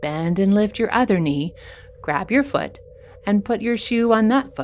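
A woman with a warm, upbeat tone and lively intonation speaks over noticeable background noise. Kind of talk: guided kids' yoga session with playful superhero storytelling. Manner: warm, upbeat and encouraging, with pauses for movement and playful exclamations; slow, clear, gentle pacing with enthusiastic sound effects.

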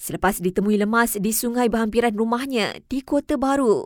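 A woman's fairly high-pitched, a normal speaking voice at a moderate pace, with fairly even intonation, on a very clean recording with a silent background. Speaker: news presenter. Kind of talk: news reading. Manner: formal.

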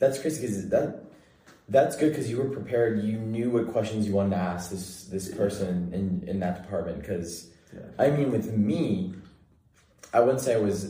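At a moderate pace, a man speaks in a fairly low pitch with a dark, mellow tone, somewhat breathy, with ordinary pitch variation. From Central California. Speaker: college student podcast host. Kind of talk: casual chat.

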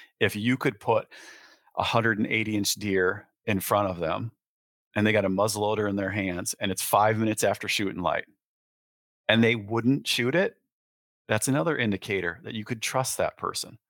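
A man with a Midwestern US accent speaks at a moderate pace, leaving long, frequent pauses, his intonation fairly even. The recording is very clean and dry, with a silent background and no echo. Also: fairly low pitch for a man. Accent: US Midwest. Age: 40s. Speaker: real estate broker and landowner. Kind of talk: casual interview.

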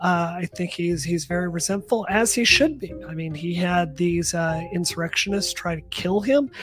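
A woman talks at a moderate pace with hardly any pauses, her fairly low pitch showing ordinary variation, over noticeable background noise. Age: 40s. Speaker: tech commentator and former congressional candidate. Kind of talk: casual chat.

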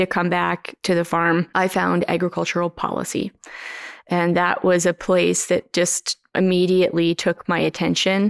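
A woman's monotone, flat voice with a Canadian Prairie accent and very even loudness, dry and close with no echo, on a very clean recording with a silent background. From Canadian Prairies, Saskatchewan (Moss Bank area). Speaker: farmer and advocate. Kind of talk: interview conversation. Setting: living room at her farm.

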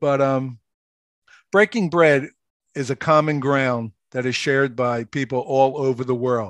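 A man with a Philadelphia accent speaks at a fairly slow pace. His voice sits at a medium pitch with ordinary pitch variation, and the background is quiet. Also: dry, close sound with no echo. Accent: Philadelphia American. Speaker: author and radio host. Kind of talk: casual interview.

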